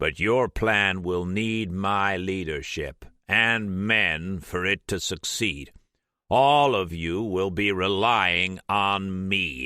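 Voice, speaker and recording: Using a put-on character voice, a man talks very slowly at a very deep, low pitch, with ordinary pitch variation. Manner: deathly calm, cold, threatening.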